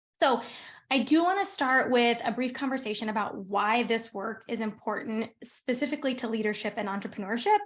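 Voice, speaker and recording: Against a quiet background, a woman talks at a fairly quick pace in a fairly high pitch with ordinary pitch variation. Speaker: workshop presenter on nervous system regulation. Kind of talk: online workshop presentation. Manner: fast.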